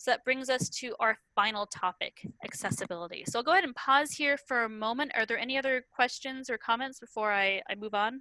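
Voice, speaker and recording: Her tone is bright and sharp, and the sound is dry and close with no echo. The woman speaks at a fairly quick pace in a high pitch. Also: ordinary pitch variation. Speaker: online teaching webinar presenter. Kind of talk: lecture. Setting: video call. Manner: fast.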